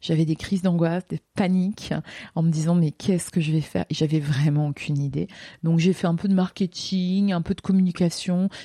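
A woman's fairly low, somewhat breathy voice has a dark, mellow tone and fairly even intonation, recorded dry and close with no echo against a quiet background. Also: moderate pace. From France, Lorraine. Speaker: teacher and speaker. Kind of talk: interview. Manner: hesitant, many fillers.

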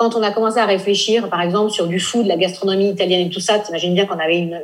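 Against audible room echo, a woman talks at a medium pitch. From France, raised in Nice. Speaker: blogger and travel entrepreneur. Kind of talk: interview.

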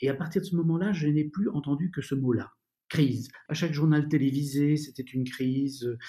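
Somewhat breathy and dark, mellow in tone, a man speaks at a moderate pace with a fairly high pitch and ordinary pitch variation. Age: 50s. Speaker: author and former doctor, founder of a school. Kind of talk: interview about personal development. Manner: hesitant, with frequent fillers.

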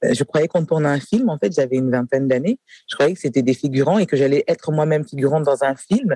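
A dark, mellow tone comes through a dry, close sound with no echo, at a fairly quick pace. Loudness stays very even while pitch varies in an ordinary way. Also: man. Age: 40s. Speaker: nursing home director. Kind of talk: interview. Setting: café.

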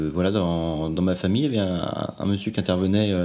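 This man's voice sits very deep and low, with a dark, mellow tone. His pitch varies in an ordinary way, and his pace is moderate. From Normandy, Le Havre. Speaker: bassist. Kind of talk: interview. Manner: halting.

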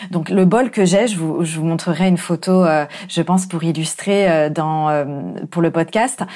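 This woman talks at a fairly slow pace with a fairly low pitch. Her pitch varies in an ordinary way. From France. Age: 30s. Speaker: life coach. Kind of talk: solo podcast monologue. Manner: hesitant, with fillers.

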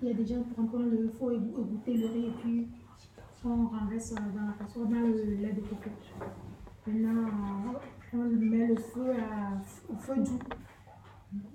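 Speech comes at a very slow pace in a monotone, flat intonation, with long, frequent pauses. Audible room echo and noticeable background noise are present. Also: woman, fairly high pitch for a woman. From Togo. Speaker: homeless person. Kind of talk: recipe explanation. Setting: community radio studio.

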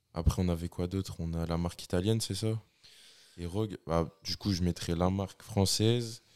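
A man's very deep, low voice comes through with a dark, mellow tone. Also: very clean recording, silent background. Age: 20s. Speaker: strength athlete, student coach. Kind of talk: casual chat.

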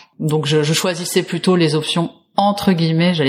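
Very deep and low in pitch, a woman talks at a fairly quick pace with fairly even intonation. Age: 30s. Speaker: movement teacher. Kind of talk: interview testimony.

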